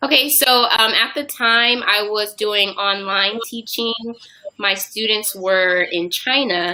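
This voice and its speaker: A woman speaks in a normal speaking voice with an American accent, at a medium pitch with ordinary pitch variation. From US Southwest, Phoenix, Arizona. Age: 20s. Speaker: English teacher and youtuber. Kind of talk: interview.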